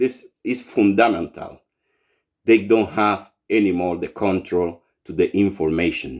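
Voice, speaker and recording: This man has a fairly low voice and speaks with a Cuban accent. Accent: non-native English, Cuban Spanish. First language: Spanish. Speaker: writer and political activist. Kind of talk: political monologue to camera. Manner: halting, searching for words; impassioned.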